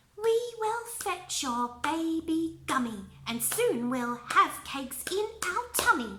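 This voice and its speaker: Using a put-on character voice, a woman speaks in an extremely high, sing-song pitch with very wide swings, at a fairly slow pace with hardly any pauses. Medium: read story. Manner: sing-song rhyming.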